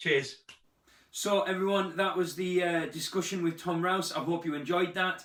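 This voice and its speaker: Here is a man with a northern English accent and a high pitch. His intonation is fairly even, and his pace is moderate. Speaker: football fan channel host. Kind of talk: casual chat; outro to camera.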